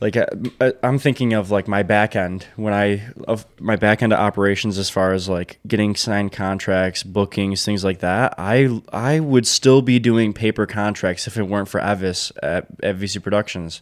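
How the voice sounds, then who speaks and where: Speaking with an American accent, a man uses a plain, everyday voice at a fairly low pitch. He keeps a moderate pace and fairly even intonation, with hardly any pauses. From Michigan, Detroit downriver area. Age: 20s. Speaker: wedding photographer and videographer, business owner. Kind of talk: casual interview chat.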